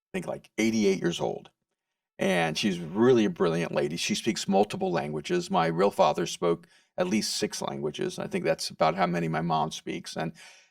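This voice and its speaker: A man's medium-pitched voice with vocal fry and very wide pitch swings at a moderate pace, dry and close with no echo on a very clean recording with a silent background. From El Salvador. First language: Spanish. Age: 60s. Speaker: author and speaker. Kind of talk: podcast interview. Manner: halting, repeats words.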